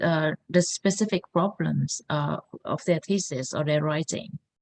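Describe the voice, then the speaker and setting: In a non-native accent, a woman speaks at a very slow pace. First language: not English. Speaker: founder of a thesis support academy. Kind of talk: workshop presentation. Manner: halting, many fillers.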